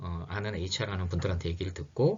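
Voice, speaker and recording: A man speaks in a somewhat breathy voice. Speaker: lecturer on HR and labor. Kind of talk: lecture. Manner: fast; hesitant, many fillers.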